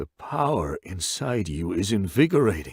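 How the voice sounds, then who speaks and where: A man puts on a character voice at a fairly low pitch, with very wide swings up and down. The tone stays calm. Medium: read story. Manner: calm, measured.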